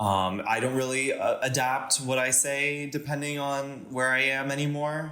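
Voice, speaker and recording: Delivered at a moderate pace with a Californian accent, the voice holds a very even loudness, hardly pauses at all, and keeps a fairly even intonation over audible room echo. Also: man, fairly high pitch for a man. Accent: sounds Californian. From Panama and US (military moves). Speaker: podcast guest. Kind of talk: casual interview chat. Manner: hesitant, many fillers.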